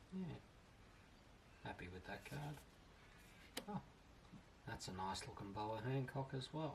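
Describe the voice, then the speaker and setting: At a fairly slow pace and medium pitch, a somewhat breathy man speaks with very wide pitch swings and long, frequent pauses. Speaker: card collector. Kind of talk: casual card opening talk.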